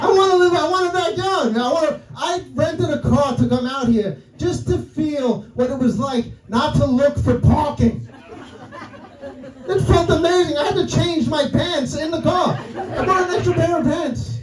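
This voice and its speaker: Over noticeable background noise and audible room echo, a man with a New York accent speaks at a moderate pace. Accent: old school New York. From New York City. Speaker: comedian. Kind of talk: stand-up. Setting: stage with audience.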